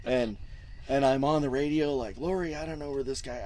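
A man with an American accent speaks at a moderate pace in a dark, mellow tone, with audible echo in the room. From Southern California, Orange County. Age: 50s. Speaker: dirt bike race organizer. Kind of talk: casual interview. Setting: outdoors in race pits. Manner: halting, repeats words.

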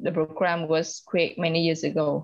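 A woman speaks with a Vietnamese accent. Her pitch is fairly low. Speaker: LGBT activist and organization director. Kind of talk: casual interview.

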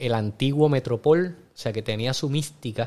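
A man talks in an ordinary speaking voice, fairly high in pitch. He moves at a fairly quick pace with ordinary pitch variation. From Puerto Rico. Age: 40s. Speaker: actor and restaurant owner. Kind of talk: casual interview chat.

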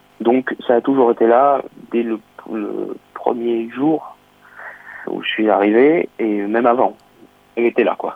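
Speaking very slowly at a medium pitch, a man leaves long, frequent pauses over noticeable background noise. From southern France, Nice. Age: 20s. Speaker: saxophonist. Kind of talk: interview. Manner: hesitant.

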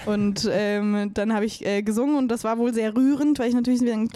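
Through noticeable background noise, a woman with a fairly high pitch talks at a moderate pace, keeping her intonation fairly even and her loudness very even. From Bavaria, Chiemsee and Munich. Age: 20s. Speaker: singer-songwriter. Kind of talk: casual interview chat.

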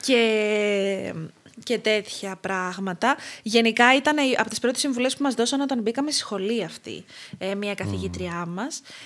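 An unremarkable speaking voice from a woman, fairly high in pitch, at a fairly slow pace, with ordinary pitch variation and big swings in loudness. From Crete, Greece. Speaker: clinical dietitian. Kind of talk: casual interview.

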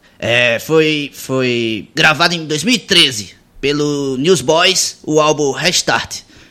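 His tone is bright and sharp, with a fairly high pitch. The man talks at a very slow pace. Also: ordinary pitch variation. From Pernambuco sertão, Brazil. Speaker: radio host. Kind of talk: casual chat.

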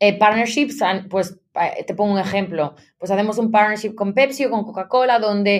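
With a normal speaking voice, a woman talks fairly quickly at a medium pitch and ordinary pitch variation. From Galicia, Spain (A Coruña province). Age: 30s. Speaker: marketing executive. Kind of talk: interview.

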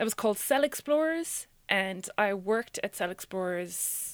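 A woman speaks in an Irish accent. The recording is very clean, with a silent background. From Ireland. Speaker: science communicator and radio producer. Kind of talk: interview conversation.

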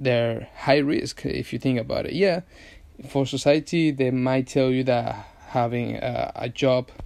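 A man speaks at a fairly slow pace with a Venezuelan accent. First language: Spanish. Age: 20s. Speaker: podcast host, advertising agency owner. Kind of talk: solo podcast monologue. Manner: halting, many fillers and restarts.

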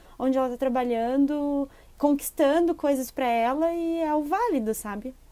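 Speaking at a moderate pace, the woman has a high-pitched voice. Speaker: podcast co-host. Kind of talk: casual chat.

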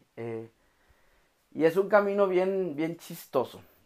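Speaking very slowly, a man uses ordinary pitch variation in a Mexican accent. The recording is very clean, with a silent background. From Mexico, Oaxaca. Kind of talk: devotional podcast monologue. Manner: casual, with frequent fillers.

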